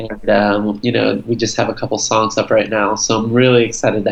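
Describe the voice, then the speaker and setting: Speaking at a moderate pace, a man with an American accent has a fairly low voice. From Florida, US, Brazilian family. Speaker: singer-songwriter. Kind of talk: casual interview. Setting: video call.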